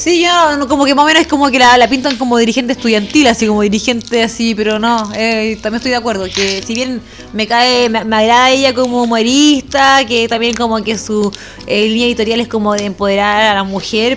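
Against noticeable background noise, a woman with a Chilean accent talks at a fairly quick pace, her fairly high pitch held in fairly even intonation. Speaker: podcast co-host. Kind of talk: casual chat.

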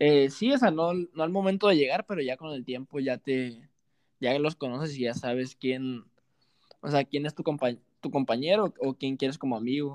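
An unremarkable speaking voice comes at a moderate pace, with a dry, close sound with no echo and a quiet background. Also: man, fairly high pitch for a man, ordinary pitch variation. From Mexico, Sinaloa (Los Mochis, rural ranch). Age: 20s. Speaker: professional football striker. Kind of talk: casual interview chat.

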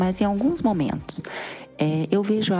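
The woman's pitch varies in an ordinary way while noticeable noise runs in the background. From Brazil, Cantagalo (Rio de Janeiro state). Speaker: amateur cyclist and makeup artist. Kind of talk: casual interview.

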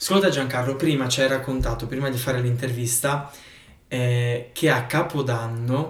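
Amid noticeable background noise and audible room echo, a man with a medium pitch talks at a moderate pace in a monotone, flat intonation. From northeastern Italy, outside Val Resia. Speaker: podcast host. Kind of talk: podcast interview.

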